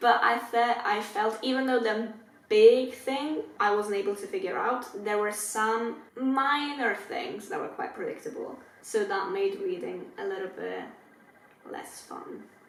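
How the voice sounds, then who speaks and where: A woman with a non-native accent, high-pitched with very wide pitch swings and big jumps in loudness, speaking fairly slowly amid room echo and noticeable background noise. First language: not English. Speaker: book youtuber. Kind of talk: casual chat. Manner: casual, filler-heavy.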